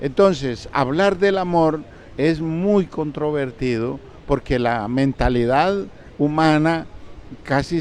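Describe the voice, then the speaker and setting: A man whose pitch is fairly high talks at a very slow pace, his intonation lively. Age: 80s+. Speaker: spiritual teacher. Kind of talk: interview. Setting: book fair stand.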